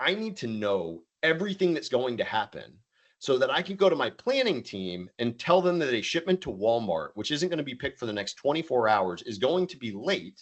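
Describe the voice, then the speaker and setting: Fairly quick and with hardly any pauses, the speech shows vocal fry and very wide pitch swings. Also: man, fairly high pitch for a man. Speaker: tech company founder and CEO. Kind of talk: webinar presentation. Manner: fast.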